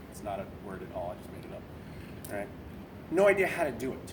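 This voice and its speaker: Someone with an American accent talks at a very fast pace. The recording has audible room echo and noticeable background noise. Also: man. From Boston area, New England. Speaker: navy corpsman sharing suicide survival story. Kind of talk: personal testimony talk. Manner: conversational, with filler words.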